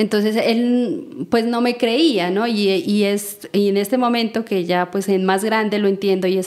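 Noticeable background noise sits behind a woman speaking at medium pitch. She keeps a moderate pace with ordinary pitch variation. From Colombia, Nariño department near Pasto. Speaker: seed network founder and coordinator. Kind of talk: interview. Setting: in person in Nariño, Colombia.

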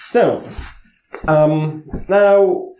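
A man talks with a dark, mellow tone and fairly even intonation. Room echo is audible. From Latvia. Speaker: security researcher; conference speaker. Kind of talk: conference talk. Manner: halting. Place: hall.

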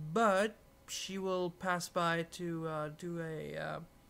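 A man speaks in a high-pitched voice with flat, monotone intonation. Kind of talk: casual talk to camera.

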